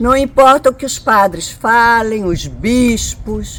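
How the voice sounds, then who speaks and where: A woman speaks with lively intonation. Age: 70s. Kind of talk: interview testimony.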